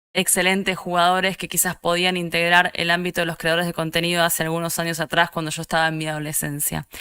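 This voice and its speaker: Speaking very fast with hardly any pauses, a woman with an Argentine accent uses a fairly low pitch, a bright, sharp tone and monotone, flat intonation. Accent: Rioplatense Argentine Spanish. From Argentina, Buenos Aires. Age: 30s. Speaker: esports producer and content creator. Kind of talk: conference talk. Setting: online event.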